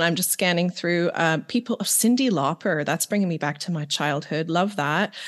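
A woman speaks at a moderate pace in a plain, everyday voice with lively intonation. The background is quiet. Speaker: podcast co-host. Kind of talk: casual interview chat.

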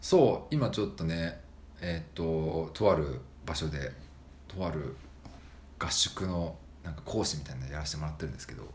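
A man with a slight Fukui accent speaks at a very deep, low pitch with vocal fry and ordinary pitch variation, at a moderate pace with long, frequent pauses. His loudness swings widely, and audible room echo surrounds him. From Japan, Fukui. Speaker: podcast co-host. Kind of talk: casual chat.

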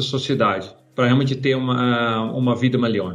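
A man speaks with a Dutch accent. Room echo can be heard. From Netherlands. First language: Dutch (speaking Portuguese). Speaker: corporate innovation leader. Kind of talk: interview. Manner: hesitant, with fillers.

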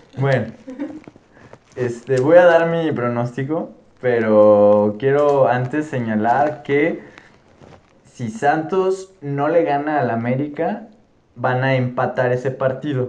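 A man speaks at a very slow pace, with long, frequent pauses. His voice sits at a medium pitch and rises and falls in an ordinary way. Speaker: football podcast host. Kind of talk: casual chat. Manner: animated.

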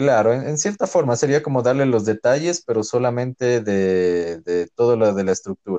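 A man with a dark, mellow tone speaks at a moderate pace with lively intonation and hardly any pauses, in a dry, close sound with no echo. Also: medium pitch for a man. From Ecuador, Loja. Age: 20s. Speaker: architect. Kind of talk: casual interview chat.

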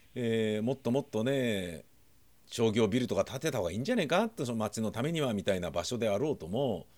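Speaking at a very fast pace with lively intonation, a man at medium pitch comes through in a very clean recording with a silent background. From Tokyo, Nakano. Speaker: podcaster. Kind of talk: casual monologue.

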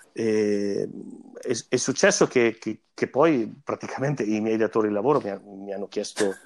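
The sound is dry and close, with no echo. A man speaks with fairly even intonation. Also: fairly low pitch for a man, moderate pace. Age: 40s. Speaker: musician, singer and double bassist. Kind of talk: interview. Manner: halting, repeats words.

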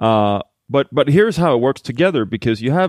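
A man with a Swedish accent, lively intonation and a moderate pace. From Sweden, Halmstad. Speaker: blockchain company executive. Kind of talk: podcast interview. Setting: in-person recording in Gothenburg.

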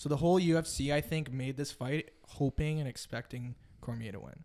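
Against a very clean recording with a silent background, a man with a Western Canadian accent speaks at a moderate pace, with fairly high pitch and ordinary pitch variation. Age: 20s. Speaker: former rugby player. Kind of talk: casual chat.

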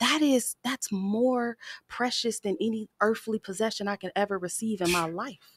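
An unremarkable speaking voice from a woman with an American accent, fairly high in pitch with ordinary pitch variation, dry and close with no echo. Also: moderate pace. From Pasadena, California. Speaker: motivational speaker. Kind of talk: casual chat.

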